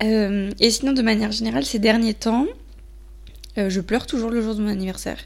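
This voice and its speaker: Speaking at a fairly quick pace, a woman uses ordinary pitch variation and takes long, frequent pauses. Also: fairly high pitch for a woman. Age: 20s. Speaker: podcaster. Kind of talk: solo monologue. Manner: hesitant, many fillers.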